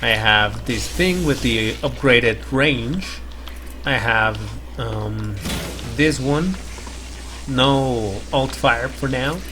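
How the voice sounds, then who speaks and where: Over noticeable background noise and audible room echo, a man talks very slowly with long, frequent pauses. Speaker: gaming youtuber. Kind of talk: gameplay commentary. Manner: quiet, keeping voice down; halting.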